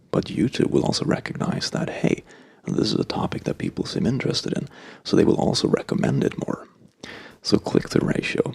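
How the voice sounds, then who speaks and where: A soft-spoken man talks at a fairly quick pace over noticeable background noise. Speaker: ASMR YouTuber. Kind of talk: casual talk to camera. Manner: soft-spoken, conversational.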